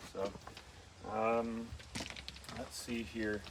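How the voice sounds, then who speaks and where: A man's voice against noticeable background noise. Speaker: auctioneer giving an equipment walk-through. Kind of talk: casual talk while walking through equipment. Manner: conversational, filler words.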